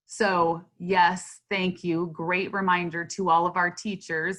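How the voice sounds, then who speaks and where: The woman here has a medium pitch. She talks at a fairly slow pace. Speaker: school district administrator. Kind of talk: online community forum Q&A. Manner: loud talker.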